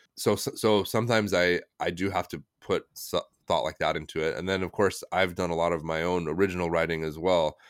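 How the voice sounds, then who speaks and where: A man with an American accent speaks at a fairly quick pace in a very deep, low pitch, his intonation fairly even. The recording is very clean, with a silent background. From United States. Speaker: translator and author. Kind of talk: casual interview chat.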